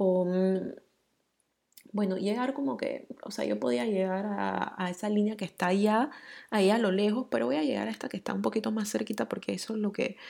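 With lively intonation, a woman talks at a moderate pace in a dark, mellow tone at medium pitch. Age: 30s. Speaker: podcast host. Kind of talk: solo monologue. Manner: casual, many filler words.

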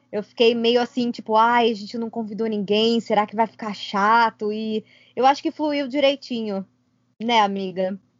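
An unremarkable speaking voice at a moderate pace. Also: woman, fairly high pitch for a woman, fairly even intonation. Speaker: podcast co-host and YouTuber. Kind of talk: casual chat.

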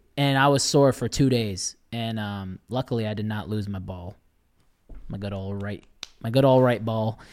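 A man with an ordinary speaking voice in an American accent, fairly low in pitch, with ordinary pitch variation, big swings in loudness and a moderate pace. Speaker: podcast host. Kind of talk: casual chat.

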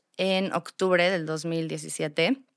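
A woman has a normal speaking voice at a medium pitch, with fairly even intonation. The sound is dry and close with no echo, on a very clean recording with a silent background. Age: 30s. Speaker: store co-founder and marketing director. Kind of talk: interview.

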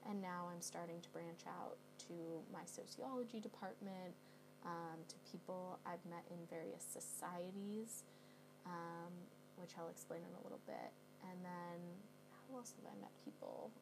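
A woman speaks at a moderate pace with a Californian accent, leaving long, frequent pauses, with noticeable background noise and audible room echo. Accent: Californian American. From US West Coast, San Francisco Bay Area. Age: 20s. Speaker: college student podcaster. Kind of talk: casual monologue vlog. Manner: conversational with many fillers.

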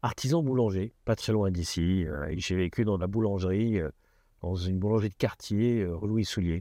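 Fairly low in pitch, a man speaks with a dark, mellow tone and ordinary pitch variation. The sound is dry and close with no echo, and his pace is moderate. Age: 60s. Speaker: business executive. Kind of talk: interview.

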